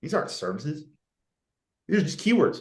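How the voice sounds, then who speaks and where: With vocal fry, a man talks at a very fast pace. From Canada. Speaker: marketing business founder, guest speaker. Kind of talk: webinar presentation. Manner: animated.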